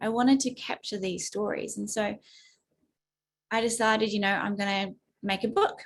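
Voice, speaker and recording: With a slight New Zealand accent, a woman speaks at a moderate pace in a fairly high, somewhat breathy voice, her intonation monotone and flat, with long, frequent pauses. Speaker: advocate and speaker. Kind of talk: webinar talk.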